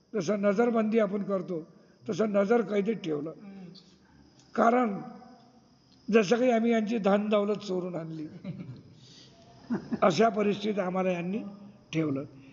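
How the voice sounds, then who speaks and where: A man talks with high pitch and ordinary pitch variation. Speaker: religious preacher. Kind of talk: religious scripture reading and explanation.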